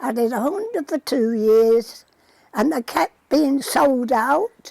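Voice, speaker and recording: A woman speaks very slowly in a Lancashire accent with a high pitch and ordinary pitch variation. The sound is dry and close, with no echo. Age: 80s+. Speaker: centenarian poppy knitter. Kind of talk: interview. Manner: halting.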